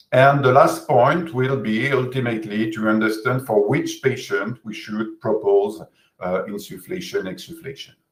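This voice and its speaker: Somewhat breathy and in a French accent, the voice moves at a moderate pace with ordinary pitch variation and audible room echo. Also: man, medium pitch for a man. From France, Bordeaux region. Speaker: physiotherapist and researcher. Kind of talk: webinar lecture. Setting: video call webinar. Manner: hesitant, many fillers.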